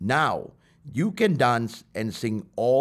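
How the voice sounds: Someone reads aloud naturally. The delivery is a natural reading voice.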